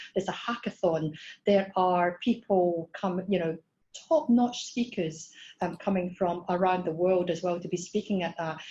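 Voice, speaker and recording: Somewhat breathy, a woman with a Scottish accent speaks at a medium pitch in a dark, mellow tone. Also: ordinary pitch variation, moderate pace. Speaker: startup program head. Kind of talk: webinar presentation. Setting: online webinar. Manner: hesitant with fillers.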